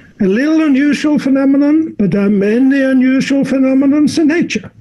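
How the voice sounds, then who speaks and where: Over noticeable background noise, a man speaks at a moderate pace in an extremely high pitch with ordinary pitch variation. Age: 70s. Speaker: physician and sexologist. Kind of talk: interview. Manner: halting, with frequent repetitions.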